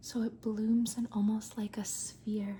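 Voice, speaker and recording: Speech comes at a very slow pace while noticeable background noise runs behind it. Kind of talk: ASMR rambling talk to camera. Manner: whispered, soft-spoken.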